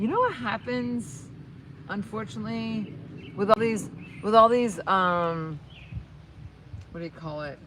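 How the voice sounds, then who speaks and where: An animated, bright and sharp tone with an American accent. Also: woman. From northern New Jersey, Bergen County. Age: 50s. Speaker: YouTuber, horse and lifestyle vlogger. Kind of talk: casual livestream chat with viewers. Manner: fast; animated, rambling with fillers.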